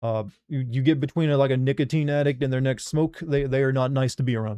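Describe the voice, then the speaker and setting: Very fast and fairly even in intonation, a man with a medium-pitched, dark, mellow voice speaks with a slight Southern US accent. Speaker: gaming streamer. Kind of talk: casual chat. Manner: stumbles over words.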